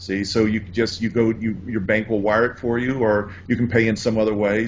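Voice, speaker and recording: This man has a fairly low pitch and an American accent, in a plain, everyday voice. He keeps a moderate pace with fairly even intonation. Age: 60s. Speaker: importing course author. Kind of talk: interview.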